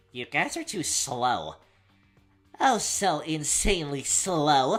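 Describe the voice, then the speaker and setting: A put-on character voice at a middle pitch moves at a very slow pace over faint music in the background. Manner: mocking, taunting.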